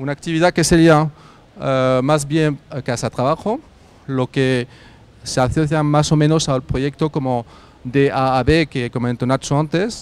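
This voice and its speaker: In a dry, close sound with no echo, a man with a French accent speaks at a moderate pace and a fairly high pitch, his intonation fairly even. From France. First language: French (speaking Spanish). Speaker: carpooling startup representative. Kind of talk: workshop presentation. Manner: hesitant, many fillers.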